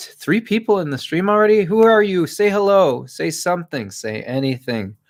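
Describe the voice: At a moderate pace, a man speaks in a high pitch with lively intonation.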